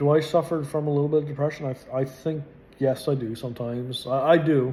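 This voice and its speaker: A man's fairly high-pitched voice at a fairly quick pace. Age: 40s. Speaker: vlogger. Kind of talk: casual vlog monologue. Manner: halting, many false starts.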